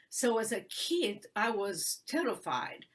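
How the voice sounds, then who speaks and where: A woman talks in a medium pitch with a Romanian accent. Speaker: human rights attorney and author. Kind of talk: interview testimony. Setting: live video stream. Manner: halting with many fillers.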